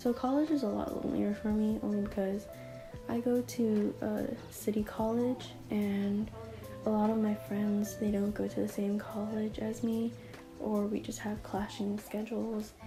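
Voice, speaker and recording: A soft-spoken woman talks at a fairly slow pace. Music plays in the background. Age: young. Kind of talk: casual talk to camera. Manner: soft, quiet.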